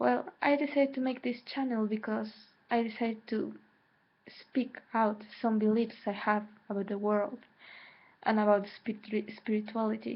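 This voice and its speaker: With a Mexican accent, a woman speaks at a moderate pace and a fairly high pitch. Her intonation is fairly even, broken by long, frequent pauses. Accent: Mexican Spanish accent in English, self-noted. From Mexico. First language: Spanish. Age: 20s. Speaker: spiritual vlogger. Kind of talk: personal vlog monologue. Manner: hesitant, with repetitions.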